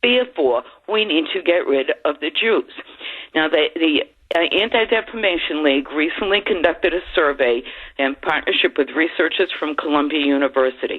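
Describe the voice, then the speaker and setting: Through noticeable background noise, a woman's fairly low pitch moves with lively intonation. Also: moderate pace. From Boston. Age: 70s. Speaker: caller. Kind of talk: call-in radio.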